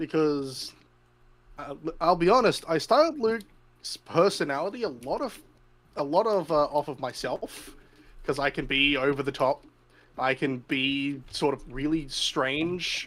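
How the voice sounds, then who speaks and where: Speaking at a fairly slow pace with an Australian accent, a man uses a fairly high pitch and ordinary pitch variation. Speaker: tabletop game player. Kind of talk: casual chat. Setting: live stream.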